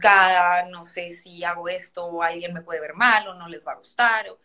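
Her tone bright and sharp, a woman speaks at medium pitch and a moderate pace. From Colombia. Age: 30s. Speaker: dancer and entrepreneur. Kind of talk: interview.

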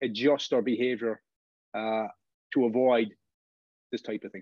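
A man speaks at a medium pitch in a Cork accent, the sound dry and close with no echo. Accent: Cork Irish. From Ireland, Cork. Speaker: football referee. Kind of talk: interview. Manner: halting, many fillers.

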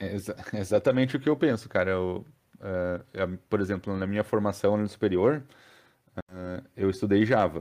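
In a very clean recording with a silent background, a man speaks at a moderate pace with ordinary pitch variation and long, frequent pauses. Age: 30s. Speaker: software developer and technical school teacher. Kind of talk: casual interview chat.

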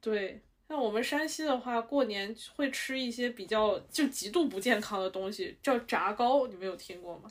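An ordinary speaking voice, from a woman, pitched fairly high, lively in intonation and moderate in pace. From Shanxi. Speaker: podcast co-host. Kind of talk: casual chat.

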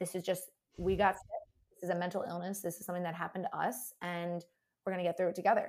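Very fast, somewhat breathy speech from a woman. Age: 20s. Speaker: food blogger. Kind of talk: casual interview.

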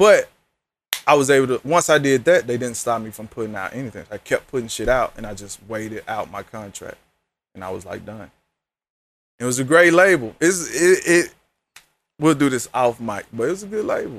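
An animated man at a fairly quick pace, very wide pitch swings, long and frequent pauses, and a quiet background. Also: medium pitch for a man. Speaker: podcast host. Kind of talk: casual chat.

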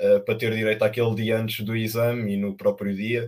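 This is a man speaking. His pitch is medium. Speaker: working student. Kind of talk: casual chat.

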